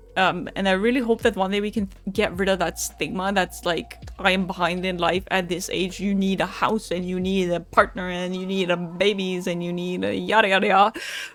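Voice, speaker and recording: A woman's medium-pitched voice, monotone and flat, at a fairly quick pace over music in the background. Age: 20s. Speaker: streamer doing tarot readings. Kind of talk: casual livestream chat. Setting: live stream.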